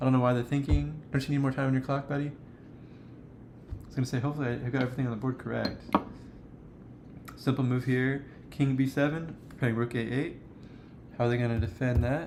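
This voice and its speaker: A medium-pitched man at a fairly quick pace with long, frequent pauses over noticeable background noise. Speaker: chess streamer. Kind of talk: live game commentary. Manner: fast; casual, animated.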